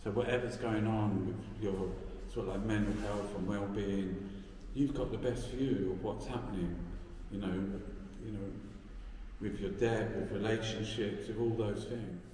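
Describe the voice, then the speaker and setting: A man talks at a fairly low pitch and moderate pace in a monotone, flat intonation. Audible room echo and light background noise are present. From London, Peckham. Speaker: artist. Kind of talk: interview. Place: hall. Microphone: phone near.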